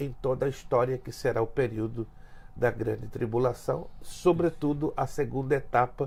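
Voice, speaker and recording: The voice is somewhat breathy. Its pace is fairly slow. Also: man. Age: 60s. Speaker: pastor. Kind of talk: interview.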